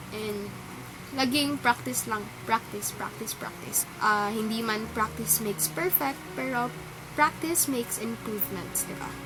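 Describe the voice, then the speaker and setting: A woman speaks at a moderate pace in a fairly high voice, her pitch swinging very widely. Noticeable background noise sits behind her. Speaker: singing competition contestant. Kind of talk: casual vlog talk to camera.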